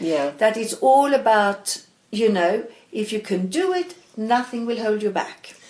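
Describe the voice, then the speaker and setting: Delivered at a fairly slow pace, the speech has lively intonation and a Swedish accent. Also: woman. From Sweden (Stockholm, grew up in Malmö). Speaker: knitwear designer and knitting teacher. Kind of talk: casual interview chat.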